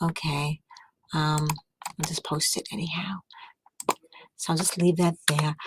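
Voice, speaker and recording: Soft-spoken and fairly low-pitched, a woman speaks in a monotone, flat intonation at a fairly slow pace with long, frequent pauses, the sound dry and close with no echo. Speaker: livestreamer. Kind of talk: casual chat. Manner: quiet to avoid waking others.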